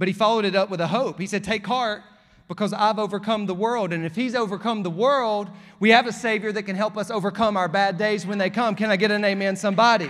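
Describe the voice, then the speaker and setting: Talking very fast with an Alabama accent, a man with a high pitch speaks in an animated tone. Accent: Southern US (Alabama). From US South, rural Alabama. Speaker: pastor. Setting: church stage with live congregation, also streamed online. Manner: animated, building to emphatic calls for response ("come on", "oh, but"); warm, conversational and joking, with laughs between points.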